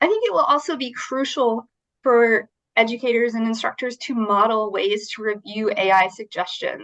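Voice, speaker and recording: This woman has a fairly high pitch and a normal speaking voice. She talks at a moderate pace. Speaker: writing instruction presenter. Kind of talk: workshop presentation.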